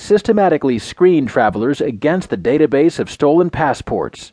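A man with an ordinary speaking voice talks at a fairly quick pace, his fairly high pitch carried by lively intonation. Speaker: audiobook news narrator. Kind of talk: scripted news reading of newspaper stories, headline rundown then full article. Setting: studio. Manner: measured, crisp broadcast delivery, even newsreader cadence; formal, neutral and detached, reading long complex sentences smoothly.

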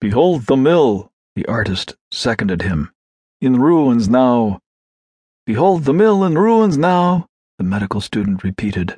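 A man's dark, mellow, theatrical delivery with very wide pitch swings. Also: medium pitch for a man, fairly slow pace. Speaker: audiobook narrator. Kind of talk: dramatic literary narration, reading a classic story aloud with expressive character.

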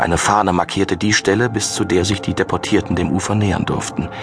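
A man speaks at a moderate pace with a very deep, low pitch. Music plays in the background. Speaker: audiobook narrator. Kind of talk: dramatic audiobook narration of a thriller, read aloud from a script. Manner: grave, measured and ominous, building suspense with dark, vivid delivery.

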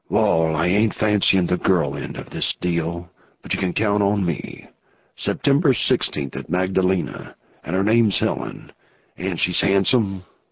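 A man uses a gruff, put-on character voice with a very deep, low pitch. His pitch varies in an ordinary way, and the pace is moderate. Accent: Western US. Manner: gruff, terse, wary.

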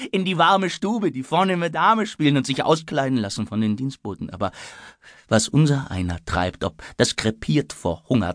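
Over a quiet background, a man with a fairly high pitch speaks at a moderate pace, his voice making very wide pitch swings. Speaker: audiobook narrator. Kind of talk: audiobook narration; dramatic reading of a tense scene. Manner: breathless, urgent, faltering in the fear scenes.

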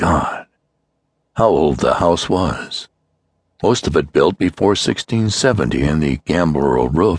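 The recording is dry and close with no echo as a man talks at a very slow pace with lively intonation. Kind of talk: dramatic audiobook narration of a horror story. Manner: hushed, suspenseful, grave pacing building dread.

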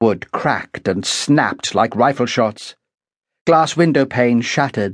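Fairly slow speech in a British accent, intense in tone, with very even loudness, ordinary pitch variation and a quiet background. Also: man, medium pitch for a man. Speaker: audiobook narrator. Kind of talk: dramatic audiobook narration of a grim thriller prologue. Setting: studio. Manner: measured, suspenseful pacing building dread; vivid, intense storytelling of visceral detail.

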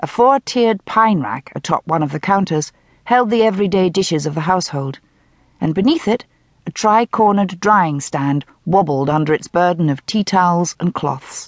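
At a moderate pace, a woman with a plain, everyday voice speaks in a fairly low pitch with lively intonation. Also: dry, close sound with no echo. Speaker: audiobook narrator. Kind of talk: dramatic audiobook narration of a mystery novel, richly descriptive with voiced dialogue. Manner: measured, atmospheric storytelling pace lingering over descriptive detail; shifts into Scottish-accented character voices for dialogue.

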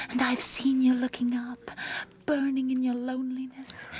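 Against noticeable background noise, a woman with a high pitch speaks at a moderate pace in an intense, menacing tone. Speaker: actor playing a young woman character. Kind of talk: dramatic narration, full-cast audio play. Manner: intense, defiant, menacing in threats, coldly insistent.

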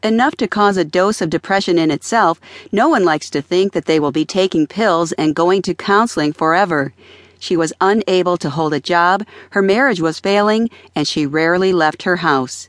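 Against a quiet background, a woman with a plain, everyday voice speaks at a fairly low pitch, with ordinary pitch variation and very even loudness. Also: moderate pace, dry, close sound with no echo. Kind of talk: audiobook narration. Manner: calm, even, measured reading.

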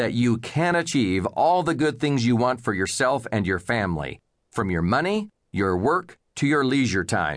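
Medium-pitched man at a moderate pace, very wide pitch swings and very even loudness, over a quiet background. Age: 50s. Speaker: financial advisor and author. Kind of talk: audiobook narration.

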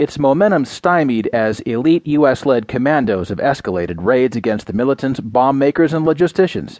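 This man has an ordinary speaking voice at medium pitch. He talks fairly quickly with lively intonation. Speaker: news digest narrator. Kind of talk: news reading. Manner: formal; measured.

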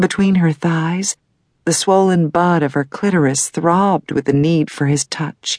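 In a dry, close sound with no echo, a woman with a very deep, low voice speaks at a very slow pace with ordinary pitch variation. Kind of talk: audiobook romance narration. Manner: sultry, breathy, slow and sensual pacing.

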